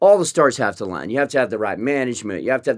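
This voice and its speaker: A man with an American accent at a very fast pace. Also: very clean recording, silent background. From West Texas, small town. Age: 40s. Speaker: rock band frontman. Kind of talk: interview conversation. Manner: halting, many restarts and fillers.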